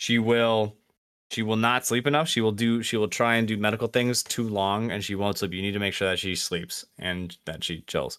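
Heard on a very clean recording with a silent background, a man with a plain, everyday voice and fairly low pitch keeps fairly even intonation at a moderate pace. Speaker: podcast host.

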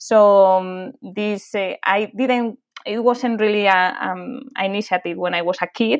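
A woman speaks with a Spanish accent at a medium pitch. Her pitch varies in an ordinary way against a quiet background. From Spain, near Madrid. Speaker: animal charity founder. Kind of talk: interview. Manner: halting.

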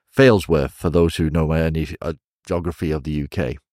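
With a northern English accent, a man talks at a moderate pace in a very deep, low voice, captured dry and close with no echo on a very clean recording with a silent background. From northwest England (Chester area). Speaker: professional wrestler. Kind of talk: casual interview. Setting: recorded live in Shenzhen. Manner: animated.

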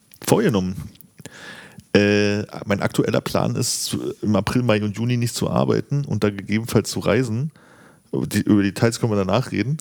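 A man with a fairly low pitch speaks at a moderate pace with ordinary pitch variation, leaving long, frequent pauses. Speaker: podcaster. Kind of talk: casual chat.

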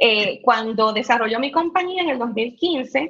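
A woman speaks in a plain, everyday voice. Her pitch is fairly high and her intonation lively. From Puerto Rico, raised partly in mainland US. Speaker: cannabis business entrepreneur. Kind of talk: interview. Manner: frequent fillers and repetitions.

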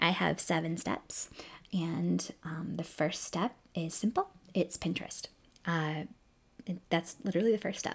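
A woman's fairly low, fry-laden voice, fairly even in intonation, at a fairly slow pace with long, frequent pauses. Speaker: fashion blogger. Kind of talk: tutorial. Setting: recording at home computer. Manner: halting, self-correcting.

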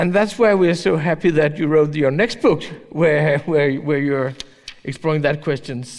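A man with a Danish accent, fairly high in pitch, at a moderate pace, with ordinary pitch variation and noticeable background noise. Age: 40s. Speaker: newspaper editor. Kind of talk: public interview on stage. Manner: halting.

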